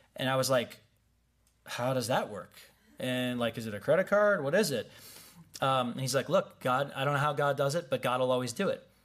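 A man speaks at a medium pitch with a US Midwestern accent. His pitch moves in an ordinary way, and his pace is fairly quick. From Wheaton, Illinois, US Midwest. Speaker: pastor. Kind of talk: sermon. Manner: casual, conversational.

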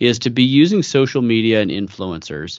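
In an unremarkable speaking voice with a General American accent, the speaker keeps a moderate pace and ordinary pitch variation over a quiet background. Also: man. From US West Coast, San Francisco Bay Area. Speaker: company founder. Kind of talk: interview.

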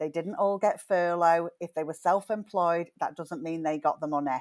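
In an ordinary speaking voice, a woman talks at a fairly quick pace and fairly low pitch with ordinary pitch variation, on a very clean recording with a silent background. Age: 40s. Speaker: hairdresser and psychotherapist. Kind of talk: casual chat.

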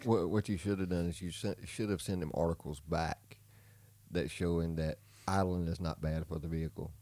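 At a moderate pace, a man speaks in a dark, mellow tone with a very deep, low pitch. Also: ordinary pitch variation. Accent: Southern US. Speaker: podcast co-host. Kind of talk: casual, profane.

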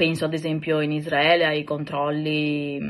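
A woman's very deep, low-pitched voice at a fairly slow pace. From Italy. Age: 30s. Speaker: podcaster sharing personal experience. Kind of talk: personal testimony monologue. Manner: hesitant, many filler sounds.

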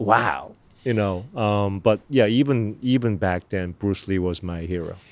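A man talks at a fairly slow pace with a Korean accent. His pitch is fairly low, with ordinary pitch variation. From Korea, raised in New Jersey. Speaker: actor. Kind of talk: casual chat. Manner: halting.

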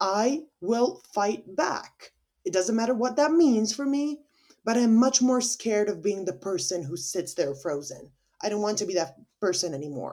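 A woman talks at a medium pitch and a moderate pace. Her pitch swings very widely. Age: 20s. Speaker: podcaster. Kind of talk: angry rant. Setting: solo monologue, home recording. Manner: passionate, emphatic, swearing-heavy; animated, fired-up.

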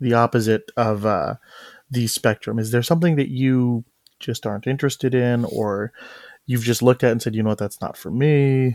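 A plain, everyday voice comes through in a dry, close sound with no echo, on a very clean recording with a silent background. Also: man, medium pitch for a man, fairly even intonation, fairly quick pace. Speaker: podcast host. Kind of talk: casual chat.

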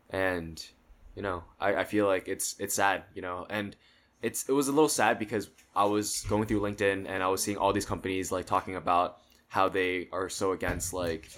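An ordinary speaking voice from a man, fairly low in pitch, with fairly even intonation, in a very clean recording with a silent background. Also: moderate pace. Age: 20s. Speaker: podcast guest. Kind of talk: casual chat.

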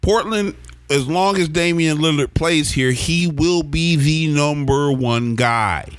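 In an American accent, a man speaks very slowly with very even loudness, and audible room echo fills the space. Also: fairly high pitch for a man, ordinary pitch variation. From Oklahoma. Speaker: podcast host. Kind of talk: casual chat.

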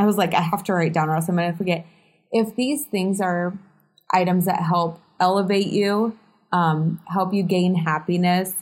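A woman with an unremarkable speaking voice, medium pitch, fairly even intonation, very even loudness and a moderate pace. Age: 30s. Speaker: realtor and podcast co-host. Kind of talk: casual chat.

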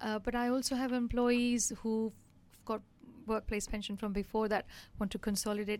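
At a fairly quick pace, a woman speaks in a fairly high pitch with monotone, flat intonation, captured in a very clean recording with a silent background. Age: 50s. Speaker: financial adviser. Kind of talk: casual interview. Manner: hesitant, many fillers.

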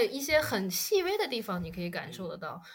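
A woman talks with very wide pitch swings. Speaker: podcast guest. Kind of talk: casual chat.

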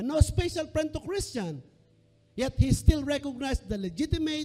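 Moving at a moderate pace, a man speaks with a dark, mellow tone and very wide pitch swings. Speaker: pastor. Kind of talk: sermon. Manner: animated.

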